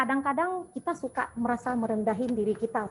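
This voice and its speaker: The woman's intonation is lively. She keeps to a moderate speed. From Bali, Indonesia. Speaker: hypnotherapist. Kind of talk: webinar talk.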